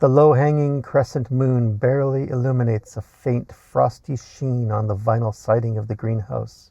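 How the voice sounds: A man speaks with vocal fry and a dark, mellow tone. His pitch moves very little. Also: medium pitch for a man, moderate pace.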